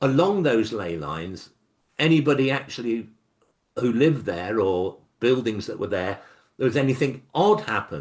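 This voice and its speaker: A man with an English accent speaks at a moderate pace with vocal fry and a medium pitch that makes very wide swings. The background is quiet. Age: 70s. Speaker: author. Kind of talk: interview.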